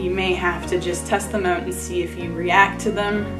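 A woman talks with clear music in the background. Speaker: health vlogger. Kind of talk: casual explainer vlog. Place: home room.

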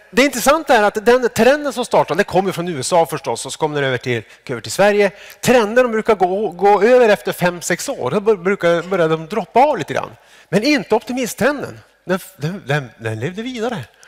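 A man's high-pitched, fairly quick speech with very wide pitch swings against a quiet background. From Sweden. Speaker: psychologist and academic. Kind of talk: lecture. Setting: stage with audience. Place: stage. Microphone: headset.

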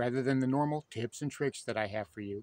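A man's voice in a dry sound with no echo. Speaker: fishing channel host. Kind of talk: casual vlog chat. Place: waterside. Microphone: phone near.

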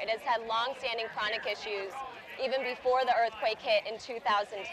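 With crowd noise in the background but a dry sound with no echo, a woman speaks at a high pitch and a moderate pace, with ordinary pitch variation. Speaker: charity race organizer. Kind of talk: interview. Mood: earnest, informative. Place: open country. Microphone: lapel.

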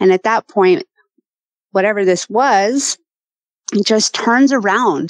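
A woman with an American accent and a normal speaking voice, fairly slow, ordinary pitch variation, dry and close with no echo. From Colorado. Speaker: hunter and eyewitness. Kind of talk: personal testimony.

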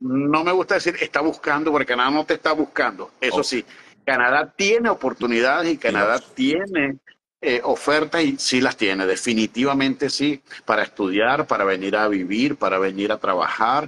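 The tone is bright and sharp. Intonation stays lively at a moderate pace. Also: man, fairly high pitch for a man. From Venezuela. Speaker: immigration consultant; interview guest. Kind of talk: interview; interview answer. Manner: halting, many repetitions. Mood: warm, animated, smiling. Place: home room. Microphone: video call.

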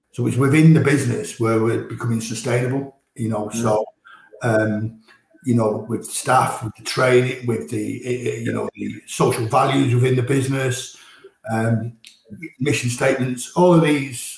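A man at a moderate pace with fairly even intonation, light background noise and audible room echo. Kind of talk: interview answer. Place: office.

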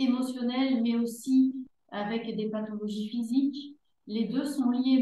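In a room with audible echo, a woman speaks at a very slow pace with a high pitch. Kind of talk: conference presentation. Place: hall. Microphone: video call.

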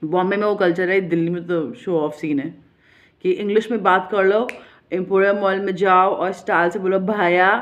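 A woman talks at a moderate pace in a medium pitch. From India. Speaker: vlogger. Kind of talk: casual monologue. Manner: animated. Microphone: phone near.

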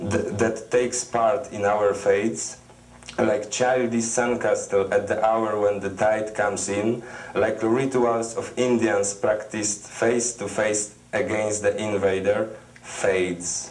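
A man talks very slowly at a fairly low pitch, with a Polish accent. His intonation is monotone and flat. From Poland. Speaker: poet. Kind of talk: poetry reading. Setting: TV studio. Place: studio.

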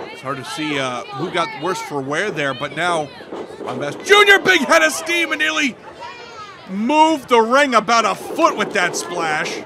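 A man's raised, projected voice at a fairly slow pace, with very wide pitch swings and noticeable background noise. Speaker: wrestling commentator. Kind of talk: live wrestling commentary, play-by-play call. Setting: outdoors, at ringside before a live crowd.

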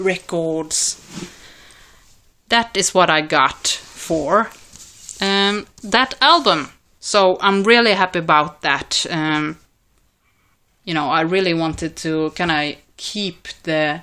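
A woman with a Swedish accent speaks very slowly, with long, frequent pauses. Her fairly low voice has a bright, sharp tone and ordinary pitch variation. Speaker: record collector vlogger. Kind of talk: casual video vlog. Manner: hesitant, many fillers.

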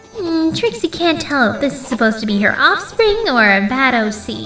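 A woman's cartoonish character voice, high and bright and sharp, with big pitch swings at a moderate pace over faint music in the background.

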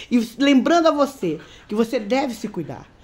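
A woman's animated tone at a moderate pace. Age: 50s. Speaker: beauty vlogger. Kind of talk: casual vlog monologue. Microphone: phone near.

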